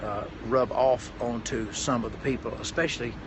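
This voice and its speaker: Noticeable background noise surrounds a man with a Tennessee accent speaking at medium pitch. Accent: Southern US (Tennessee). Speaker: pastor and motivational speaker. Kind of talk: live stream talk. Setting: hotel room, live stream. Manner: halting, many fillers.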